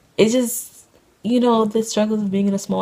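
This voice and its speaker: A woman's fairly even intonation against noticeable background noise. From New York (Queens), moved to US South young. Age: 20s. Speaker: college student vlogger. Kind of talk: casual vlog monologue. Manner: hesitant, many fillers.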